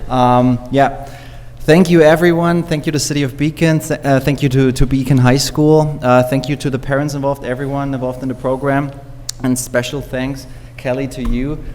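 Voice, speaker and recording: A fairly high-pitched man in a monotone, flat intonation at a moderate pace, with noticeable background noise. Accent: German. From Germany. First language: German. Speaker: teacher. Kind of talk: public speech at council meeting. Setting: city council meeting.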